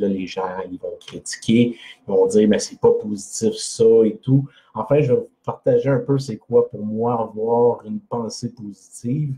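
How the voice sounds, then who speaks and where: A man speaks with a Quebec accent at a fairly slow pace. His loudness swings widely from moment to moment. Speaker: personal development blogger. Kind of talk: live video talk. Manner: hesitant, many fillers.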